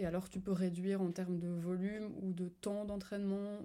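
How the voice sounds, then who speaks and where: Intonation is flat, a monotone. The tone itself is dark and mellow. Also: woman. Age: 20s. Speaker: community manager and fitness coach. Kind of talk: casual interview. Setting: home recording with a dog around.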